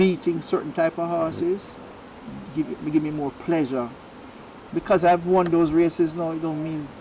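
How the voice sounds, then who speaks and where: A man at a fairly high pitch, moderate pace and fairly even intonation, with long, frequent pauses and noticeable background noise. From Jamaica, Spanish Town. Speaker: racehorse trainer. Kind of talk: interview.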